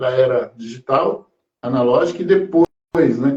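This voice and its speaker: A man's voice with a fairly high pitch. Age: 50s. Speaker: podcast host, musician. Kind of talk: casual interview. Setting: online live stream.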